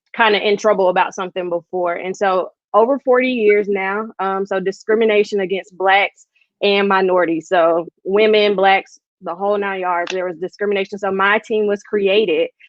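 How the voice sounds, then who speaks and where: Flat, monotone intonation marks this woman's medium-pitched voice. She speaks with an American accent. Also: moderate pace. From US South, Georgia (Thomasville). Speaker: industrial-organizational psychologist. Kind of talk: podcast interview.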